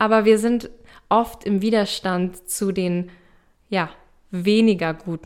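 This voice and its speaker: Speaking very slowly, a woman is heard on a very clean recording against a silent background. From eastern Germany, small town. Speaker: spiritual coach and podcast host. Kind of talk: solo podcast teaching.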